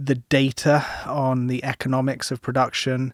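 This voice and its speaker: A man with a British accent at a fairly slow pace, dry and close with no echo. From UK. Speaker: agricultural economist. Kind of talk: podcast interview.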